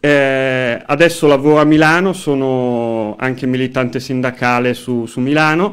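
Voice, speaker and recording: A man at a medium pitch with ordinary pitch variation, a fairly slow pace and hardly any pauses, against a quiet background. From northern Italy, Como; northern Italy. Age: 30s. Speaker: local council candidate and union activist; council candidate. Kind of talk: radio interview; interview answer. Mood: calm, earnest political talk. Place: studio. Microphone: studio mic.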